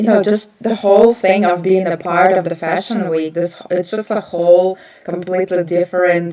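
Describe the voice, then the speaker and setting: A woman's medium-pitched voice with a non-native accent, monotone, flat intonation, a moderate pace and hardly any pauses, over noticeable background noise. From Ukraine. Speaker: nail artist and educator. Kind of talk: live stream talk. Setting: live stream. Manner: hesitant, many filler sounds.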